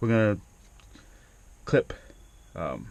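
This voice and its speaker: A man at a moderate pace. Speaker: DIY car repair video maker. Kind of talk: tutorial. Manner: mumbling; halting, many fillers.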